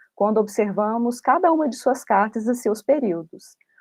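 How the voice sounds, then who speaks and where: Against a quiet background, a woman with a plain, everyday voice and fairly high pitch speaks at a moderate pace with ordinary pitch variation. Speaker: independent researcher, academic presenter. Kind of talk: academic conference talk. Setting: online video conference.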